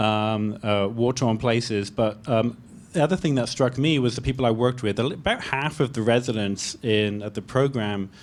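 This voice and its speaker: With a British accent, a man talks at a moderate pace and medium pitch, with ordinary pitch variation and hardly any pauses. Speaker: pediatrician. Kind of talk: panel discussion. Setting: public library event with audience.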